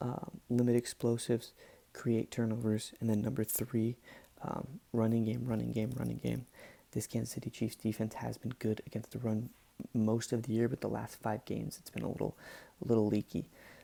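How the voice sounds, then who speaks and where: A whispering man at a moderate pace, with long, frequent pauses. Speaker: sports podcaster. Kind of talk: casual talk to camera. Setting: home recording, poor mic. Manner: whispered.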